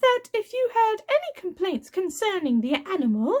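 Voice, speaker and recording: Doing a put-on character voice, a woman speaks at a moderate pace, squeaky and extremely high in pitch, with very wide pitch swings. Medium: read story. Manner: genteel, controlled.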